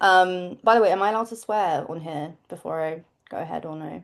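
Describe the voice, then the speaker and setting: Speaking at a moderate speed, a woman talks in an English accent. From England. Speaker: pop singer. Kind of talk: interview answer. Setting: video call.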